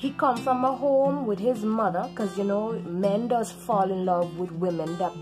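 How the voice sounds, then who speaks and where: With music in the background, a woman in a Caribbean accent speaks at a medium pitch and moderate pace, with lively intonation and hardly any pauses. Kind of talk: casual talk to camera.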